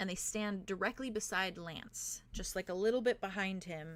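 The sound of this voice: The pitch variation is ordinary in an unforced reading voice.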